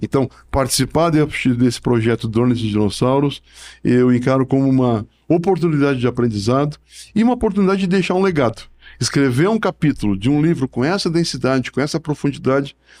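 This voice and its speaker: Lively in intonation and very even in loudness, this voice moves at a fairly quick pace in a very clean recording with a silent background. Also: man, medium pitch for a man. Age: 60s. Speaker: professor and book author. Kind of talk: podcast interview. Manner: halting, with many repetitions and fillers.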